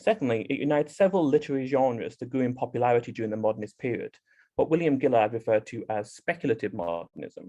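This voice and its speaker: The tone is dark and mellow, with lively intonation. Delivery comes at a very fast pace. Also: man, medium pitch for a man. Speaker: graduate student conference presenter. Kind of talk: academic conference presentation. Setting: video call.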